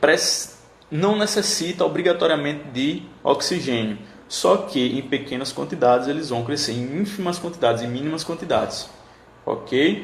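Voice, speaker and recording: At a moderate pace, a man with a fairly high voice talks with lively intonation over noticeable background noise and audible room echo. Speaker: teacher. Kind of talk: lecture. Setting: live stream.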